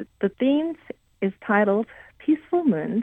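A woman speaks at a fairly slow pace in a Korean accent. Her pitch is fairly high. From South Korea. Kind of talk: radio interview. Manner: halting.

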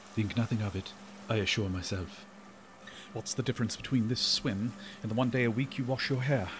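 A man speaks at a medium pitch and a fairly quick pace, somewhat breathy, with ordinary pitch variation. He leaves long, frequent pauses. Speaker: audio drama narrator. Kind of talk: horror audio drama first-person narration. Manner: hushed, brooding, suspenseful, dread-laden and awestruck.

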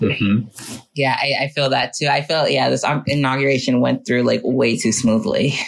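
At a moderate pace with hardly any pauses, the speech plays over noticeable background noise. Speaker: podcast co-host, therapist. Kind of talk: casual chat.

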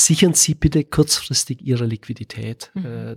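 At a fairly slow pace, a man speaks with ordinary pitch variation. The recording is dry and close, with no echo. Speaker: business consultant. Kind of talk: podcast interview. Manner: frequent filler sounds.

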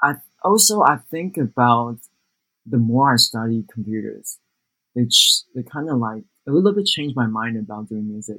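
A man speaks with a Taiwanese accent and lively intonation. His tone is bright and sharp. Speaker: music producer. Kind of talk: interview.

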